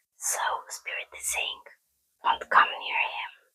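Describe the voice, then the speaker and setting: The speaker is whispering with a calm tone. The pace is fairly slow. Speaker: ASMR tarot reader. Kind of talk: whispered tarot reading. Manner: soft, whispered, calm.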